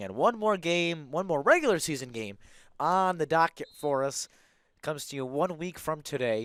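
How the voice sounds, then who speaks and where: Heard in a very clean recording with a silent background, a man with a plain, everyday voice speaks at a moderate pace, his fairly high pitch moving with lively intonation. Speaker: play-by-play sports commentator. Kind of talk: live commentary.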